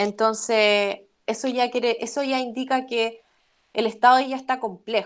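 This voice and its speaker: A woman is speaking. She has a Chilean accent. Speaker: immunology lecturer. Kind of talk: academic webinar Q&A. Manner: fast.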